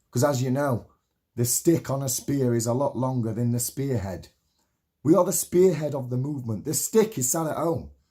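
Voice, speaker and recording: The speaker's voice is somewhat breathy, with an animated tone and lively intonation. The pace is moderate. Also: man, medium pitch for a man. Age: 30s. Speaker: political activist vlogger. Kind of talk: political rant.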